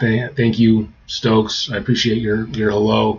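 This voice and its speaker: Noticeable background noise sits under a male speaker who goes at a fairly slow pace. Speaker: writer streaming about their draft. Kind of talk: casual livestream chat. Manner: halting, repeats words.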